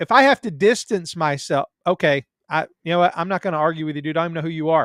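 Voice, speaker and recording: In a very clean recording with a silent background and a dry, close sound with no echo, a man with a Southern US accent talks very fast in a high voice with ordinary pitch variation. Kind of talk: casual chat. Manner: halting.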